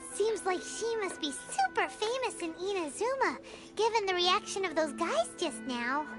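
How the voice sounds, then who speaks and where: A cartoonish character voice at an extremely high pitch moves at a moderate pace with clear music in the background. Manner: quick, chatty, reactive.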